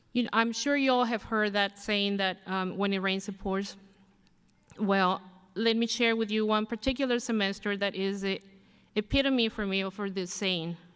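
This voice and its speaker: This is a very clean recording with a silent background. The speaker goes at a moderate pace with fairly even intonation. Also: woman, medium pitch for a woman. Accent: non-native. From abroad, immigrant to the US. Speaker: graduating student. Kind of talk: commencement speech. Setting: podium at graduation ceremony.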